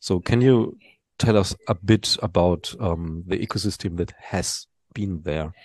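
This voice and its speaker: With a German accent and a very deep, low pitch, a man speaks at a fairly slow pace, the sound dry and close with no echo over a quiet background. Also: ordinary pitch variation. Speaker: podcast host. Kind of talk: interview. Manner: hesitant.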